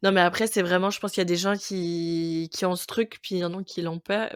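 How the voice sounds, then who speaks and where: A woman's medium-pitched voice, fairly quick and fairly even in intonation, with a dry, close sound and no echo. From Quebec, Montreal. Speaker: podcast guest, expatriate. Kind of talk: casual interview chat. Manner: hesitant, many fillers.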